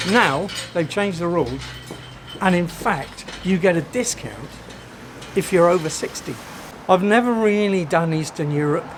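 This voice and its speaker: A man speaks at a moderate pace with an English accent, his voice pitched high for a man, with ordinary pitch variation, long and frequent pauses, and noticeable background noise. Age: 60s. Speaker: travel vlogger. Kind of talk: travel vlog narration. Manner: animated.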